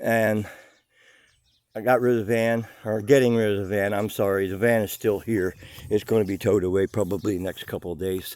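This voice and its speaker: A man talks at a fairly quick pace with fairly even intonation. His pitch is fairly low. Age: 60s. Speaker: boat builder and craftsman vlogger. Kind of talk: casual video tour vlog. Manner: halting, with many fillers and repeats.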